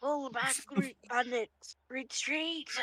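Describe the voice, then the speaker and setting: It's a put-on character voice pitched high. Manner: commanding, barking orders.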